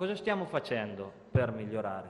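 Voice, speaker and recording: Very wide pitch swings run through a man's speech. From Marche, Italy (province of Pesaro Urbino); Marche, Italy. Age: 20s. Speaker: bank worker and local party organiser; conference speaker. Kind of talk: conference speech. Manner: halting, with frequent repetitions and fillers. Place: hall. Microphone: podium.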